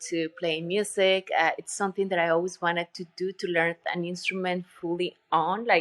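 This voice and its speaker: A woman's fairly low voice in a Colombian accent, moderate in pace and monotone with flat intonation, dry and close with no echo over a quiet background. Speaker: retreat center owner and yoga teacher. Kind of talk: interview conversation. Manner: halting, with filler words.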